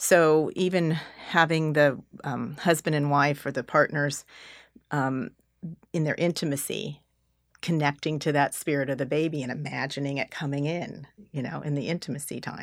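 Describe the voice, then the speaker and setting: A woman with an American accent speaks in a very deep, low pitch and a monotone, flat intonation. The recording is very clean, with a silent background. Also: moderate pace. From California. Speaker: clairvoyant and teacher. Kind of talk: interview.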